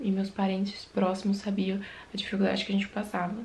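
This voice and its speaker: A woman's intonation stays monotone and flat as she talks at a moderate pace. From Brazil, Ceará interior; Ceará, Brazil. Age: 20s. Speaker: evangelical YouTuber; vlogger. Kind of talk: religious testimony. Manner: informal, conversational. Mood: reflective, heartfelt. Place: home room.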